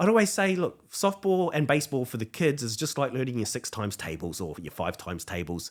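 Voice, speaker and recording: A man with a New Zealand accent speaks at a fairly quick pace with hardly any pauses. His tone is animated, and his pitch swings very widely. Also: medium pitch for a man. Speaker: softball and baseball coach. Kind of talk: podcast interview. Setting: pop-up podcast studio.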